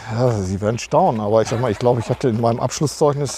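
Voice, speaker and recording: A man talks with ordinary pitch variation. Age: 50s. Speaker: church administration head. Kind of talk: interview.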